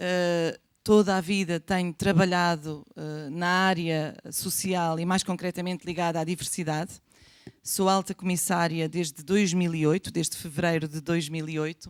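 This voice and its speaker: On a very clean recording with a silent background, a woman speaks in a fairly low pitch with monotone, flat intonation. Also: moderate pace. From Portugal. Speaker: government official on immigration. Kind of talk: panel presentation. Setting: conference room with audience.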